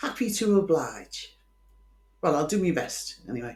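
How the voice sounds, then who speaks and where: Vocal fry runs through the voice, with audible room echo. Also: woman. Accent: Liverpool. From Liverpool, England. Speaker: true crime podcaster. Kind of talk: casual storytelling monologue. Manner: chatty, informal.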